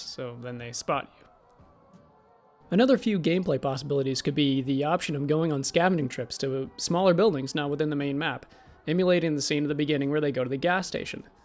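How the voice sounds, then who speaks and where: Over music in the background, a man speaks at a very fast pace with a fairly high pitch and ordinary pitch variation. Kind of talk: casual video essay pitch.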